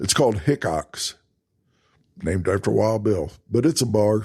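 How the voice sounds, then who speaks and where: The speaker is a man with a Texas accent. He talks at a moderate pace. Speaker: travel podcast host. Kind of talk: casual podcast monologue. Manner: conversational, with false starts.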